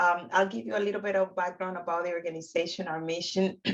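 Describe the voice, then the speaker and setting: Speaking at a fairly quick pace in a Dominican accent, a woman uses a fairly low pitch with ordinary pitch variation. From Dominican Republic. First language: Spanish. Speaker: housing counseling agency founder. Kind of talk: webinar presentation.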